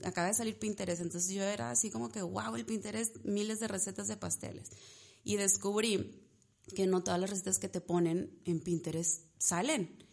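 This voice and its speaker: Vocal fry runs through a woman's medium-pitched voice. She keeps a moderate pace. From Mexico, Ciudad Victoria, Tamaulipas. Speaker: pastry chef and entrepreneur. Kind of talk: casual chat.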